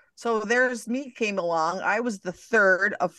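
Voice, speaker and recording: A woman speaks fairly slowly in a bright, sharp tone. Her intonation is lively. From Canada. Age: old. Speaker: life coach and author. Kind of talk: interview conversation.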